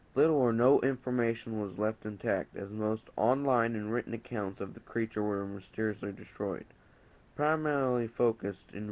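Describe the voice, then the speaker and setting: In an unremarkable speaking voice, a man talks at a moderate pace with a fairly low pitch. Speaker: story narrator. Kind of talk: horror story reading.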